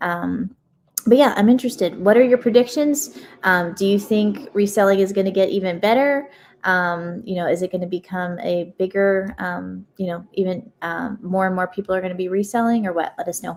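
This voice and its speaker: In a very clean recording with a silent background, a woman uses an ordinary speaking voice at medium pitch, moderate pace and ordinary pitch variation. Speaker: live stream host. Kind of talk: live stream Q&A. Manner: casual, many filler words.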